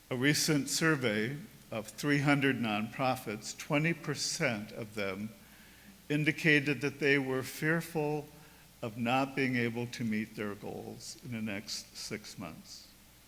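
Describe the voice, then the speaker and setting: A man speaks at a medium pitch with a bright, sharp tone. His pace is fairly slow, and audible room echo hangs around the voice. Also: ordinary pitch variation. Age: 70s. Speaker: priest. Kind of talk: sermon.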